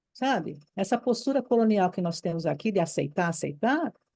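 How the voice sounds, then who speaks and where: A woman's fairly high-pitched voice with a dark, mellow tone and very wide pitch swings. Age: 70s. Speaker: retired Waldorf teacher, course participant. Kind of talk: impassioned comment in group discussion. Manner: animated, emphatic; halting, repeats words.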